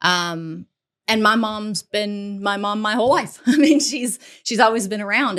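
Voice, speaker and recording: This woman has an ordinary speaking voice at medium pitch, in an American accent. Her intonation is lively. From US South, Tennessee (Nashville). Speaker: executive protection agent and co-host. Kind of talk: casual chat.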